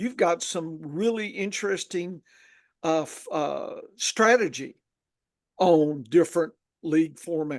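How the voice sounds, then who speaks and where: A man with a Southern accent and a high pitch, very slow pace, long, frequent pauses, ordinary pitch variation and big swings in loudness. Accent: Southern, Texas-like drawl. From northern Louisiana. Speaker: fantasy football podcast host. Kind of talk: casual podcast chat. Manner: halting, with many fillers.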